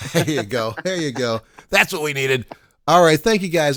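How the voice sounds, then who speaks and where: A man with an ordinary speaking voice, lively intonation and a fairly quick pace, in a dry, close sound with no echo on a very clean recording with a silent background. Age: 60s. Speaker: radio show host. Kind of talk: casual chat.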